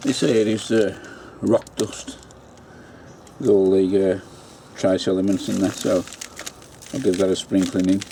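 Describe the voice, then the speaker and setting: A man with a fairly low voice and an English accent speaks fairly slowly with fairly even intonation and long, frequent pauses, over noticeable background noise. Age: 60s. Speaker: allotment gardener. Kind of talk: casual video narration.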